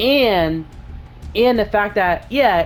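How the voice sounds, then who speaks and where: The voice shows ordinary pitch variation. Music plays in the background. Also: woman. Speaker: gaming YouTuber. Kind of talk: casual gaming commentary. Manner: halting, many fillers and restarts.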